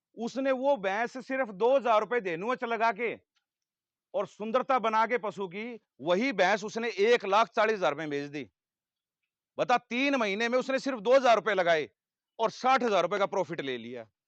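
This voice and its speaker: An animated man's high-pitched voice with ordinary pitch variation, dry and close with no echo, against a quiet background. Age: 30s. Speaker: animal feed company representative. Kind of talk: sales pitch to farmers.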